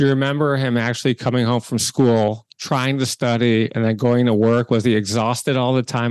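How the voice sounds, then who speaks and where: A man speaks at a medium pitch and a fairly quick pace, with fairly even intonation, in a plain, everyday voice. The background is quiet. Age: 50s. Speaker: podcast host and entrepreneur. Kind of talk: interview.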